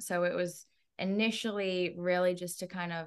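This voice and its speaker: A woman with a fairly low pitch speaks at a fairly slow pace against a quiet background. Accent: American. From Massachusetts, Norfolk County. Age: 20s. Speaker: real estate agent and entrepreneur. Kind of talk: interview. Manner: animated.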